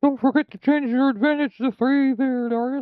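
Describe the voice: A put-on character voice delivered at a moderate pace. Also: man, extremely high pitch for a man.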